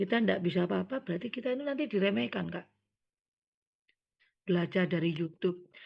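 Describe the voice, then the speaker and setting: A woman's voice with very wide pitch swings. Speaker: scout leader trainer. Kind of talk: training lecture.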